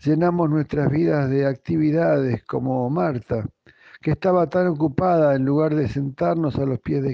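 This man talks at a fairly slow pace with lively intonation, a fairly high pitch, and very even loudness. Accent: Argentine. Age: 60s. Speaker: pastor. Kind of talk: devotional talk.

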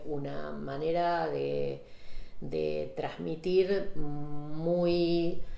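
A woman is talking. Her voice carries audible room echo. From Saladillo, Buenos Aires province, Argentina. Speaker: photographer. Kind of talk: casual chat. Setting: at her home.

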